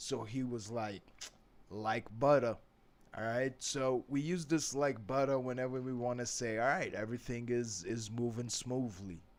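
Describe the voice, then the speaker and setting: A man talks with a New York accent. His pitch sits in the medium range. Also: ordinary pitch variation, moderate pace. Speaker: English teacher. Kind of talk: tutorial. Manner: casual, conversational.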